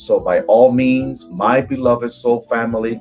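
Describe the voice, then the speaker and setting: With music playing in the background, a man with a slight Cuban accent speaks at a fairly slow pace, at medium pitch and with fairly even intonation. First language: Spanish. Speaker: tarot reader and spiritual coach. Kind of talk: live stream tarot reading. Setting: live stream.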